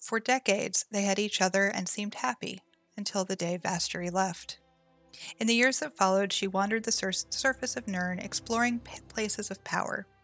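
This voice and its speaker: With music in the background, the soft-spoken voice moves at a fairly quick pace with ordinary pitch variation. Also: woman, medium pitch for a woman. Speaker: streamer. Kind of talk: lore book reading.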